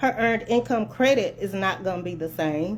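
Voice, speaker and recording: A woman's passionate voice with vocal fry and very wide pitch swings. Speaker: tax preparer. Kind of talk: casual talk to camera. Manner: soft-spoken; passionate, can sound like hollering.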